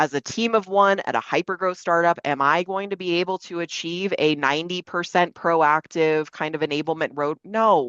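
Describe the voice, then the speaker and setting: A woman's fairly low voice, with ordinary pitch variation, comes over a quiet background. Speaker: enablement practitioner, panelist. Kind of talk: webinar panel presentation. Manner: fast; casual, filler-heavy.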